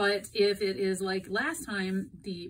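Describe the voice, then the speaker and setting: A woman talks over light background noise. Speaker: airline dispatcher explaining industry news. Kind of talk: informative explainer talk. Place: home room. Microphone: phone near.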